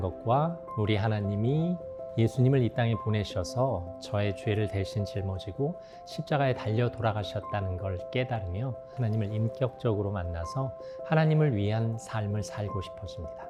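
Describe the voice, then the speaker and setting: Over background music, a man talks at a moderate pace and medium pitch with lively intonation. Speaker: former broadcast announcer and TV host. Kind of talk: personal testimony interview answer.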